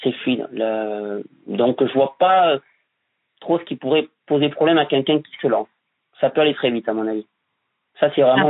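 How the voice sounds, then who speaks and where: A man talks with a medium pitch, ordinary pitch variation, and a moderate pace. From France, Bordeaux. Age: 30s. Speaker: building tradesman. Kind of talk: interview. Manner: hesitant, many repetitions.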